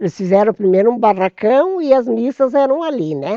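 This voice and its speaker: The sound is dry and close with no echo, against a quiet background. The voice has a dark, mellow tone and a moderate pace. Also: woman. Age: 80s+. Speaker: retired teacher, longtime resident. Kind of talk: oral history interview.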